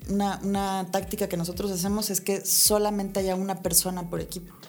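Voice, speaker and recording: A medium-pitched woman in monotone, flat intonation, with audible room echo. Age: 30s. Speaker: architect and entrepreneur. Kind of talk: casual interview.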